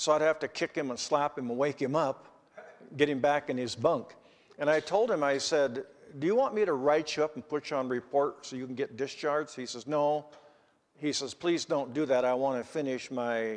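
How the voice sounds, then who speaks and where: Ordinary pitch variation marks this man's speech, delivered at a moderate pace. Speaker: preacher. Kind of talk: sermon. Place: church. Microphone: podium.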